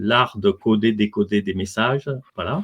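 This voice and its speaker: A man at a moderate pace. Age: 60s. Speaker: physicist and author. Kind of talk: interview. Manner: hesitant, many fillers.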